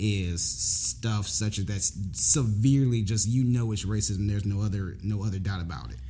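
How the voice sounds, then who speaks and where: With an American accent, a man talks at a moderate pace in a fairly low, somewhat breathy voice of dark, mellow tone, ordinary pitch variation and audible room echo. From Jacksonville, Florida. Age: 20s. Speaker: former law enforcement officer. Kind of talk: casual chat.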